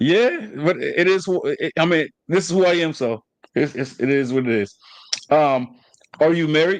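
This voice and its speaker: A man with a Southern accent speaks at a moderate pace, his fairly high voice rising and falling in a lively way. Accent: Southern, sounds country. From New Jersey. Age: 30s. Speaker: podcast host. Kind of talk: casual chat. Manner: halting.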